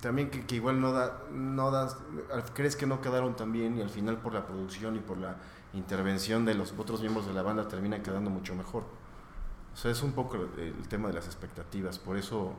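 Amid audible room echo, a man with a Mexican accent speaks at a moderate pace, his medium pitch showing ordinary variation. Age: 30s. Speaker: rock band member. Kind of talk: casual interview.

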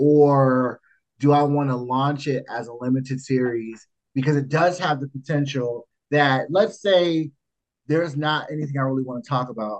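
This man speaks at a moderate pace with ordinary pitch variation. He has an ordinary speaking voice with fairly high pitch. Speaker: podcast host. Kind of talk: casual banter, raunchy comedy chat.

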